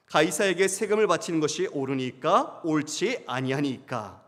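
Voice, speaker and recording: A man's voice with very wide pitch swings, at a fairly slow pace. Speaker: pastor. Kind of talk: sermon. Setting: church.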